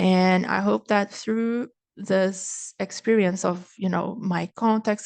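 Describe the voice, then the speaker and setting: In a Brazilian accent, a woman talks at medium pitch with monotone, flat intonation, the sound dry and close with no echo and the background quiet. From Brazil, Niterói (Rio de Janeiro). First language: Brazilian Portuguese. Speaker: speaker at a cultural event. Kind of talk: online presentation. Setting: live online stream.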